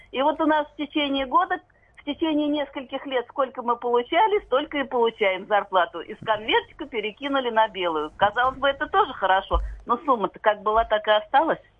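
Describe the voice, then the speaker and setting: A high-pitched woman at a fairly quick pace, with very wide pitch swings and big swings in loudness. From Moscow region, Russia. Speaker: factory employee caller. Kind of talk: radio call-in. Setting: phone call.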